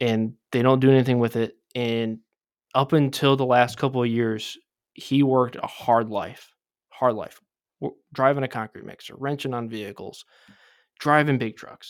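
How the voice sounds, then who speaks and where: A man's medium-pitched, monotone, flat voice in a Midwestern American accent, moderate in pace, with big swings in loudness on a very clean recording with a silent background. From southeastern Michigan. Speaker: podcast co-host. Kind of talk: personal life story.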